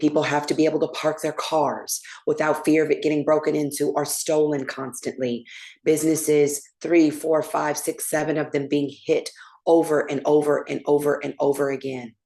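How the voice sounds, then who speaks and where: With an American accent, a woman speaks in a very deep, low voice that is dark and mellow. Her pace is moderate and her intonation monotone and flat. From Oakland, California. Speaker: prosecutor, candidate. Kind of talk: candidate forum statement.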